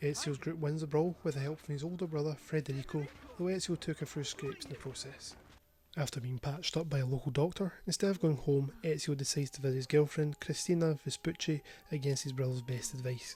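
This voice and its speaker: A man with a Scottish accent talks very fast in a fairly high, somewhat breathy voice with a dark, mellow tone and fairly even intonation. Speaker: gaming youtuber. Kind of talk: scripted narration.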